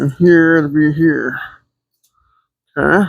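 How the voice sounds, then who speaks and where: Mumbling at a very slow pace. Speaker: car builder. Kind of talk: workshop tutorial. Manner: thinking aloud.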